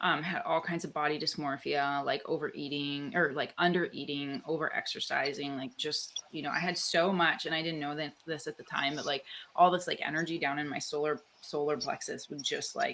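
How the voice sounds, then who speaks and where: With a Canadian accent, a woman speaks at a fairly quick pace and a very deep, low pitch against noticeable background noise. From Canada. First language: Italian. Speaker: author and guest. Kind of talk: casual interview chat. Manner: animated, filler-heavy.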